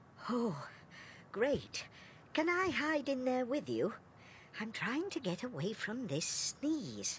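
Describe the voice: A cartoonish character voice moves at a fairly slow pace with long, frequent pauses. Clear background noise sits behind it. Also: female-sounding voice, high pitch for a woman.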